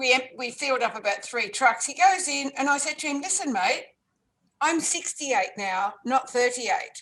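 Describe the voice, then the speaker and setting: A high-pitched woman's voice in an Australian accent, at a fairly slow pace. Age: 70s. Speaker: life coach and author. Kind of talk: interview.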